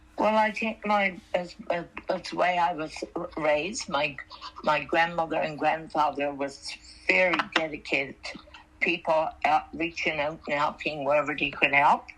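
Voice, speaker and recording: Against noticeable background noise, a woman speaks at a moderate pace with a very deep, low pitch and ordinary pitch variation. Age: 80s+. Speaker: retired mayor and volunteer. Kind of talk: interview. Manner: halting.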